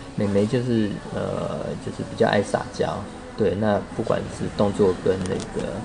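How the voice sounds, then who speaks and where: A man talks fairly slowly, with audible room echo on his voice and noticeable background noise behind it. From Taipei, Taiwan. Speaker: physical therapist. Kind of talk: interview.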